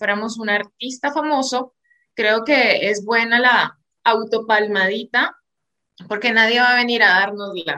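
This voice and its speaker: Bright and sharp, a woman's fairly high voice moves at a moderate pace with fairly even intonation. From Venezuela. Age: 30s. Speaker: podcast co-host. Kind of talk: casual chat.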